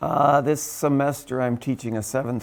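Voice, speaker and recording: A normal speaking voice with ordinary pitch variation comes from a man talking at a moderate pace. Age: 60s. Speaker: teacher and pastor. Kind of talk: interview answers.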